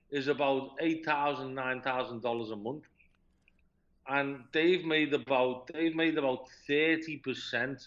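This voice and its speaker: A fairly high-pitched man with a Liverpool accent, speaking at a fairly slow pace. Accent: Scouse. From Liverpool, England. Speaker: expat living in China. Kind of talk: interview answer.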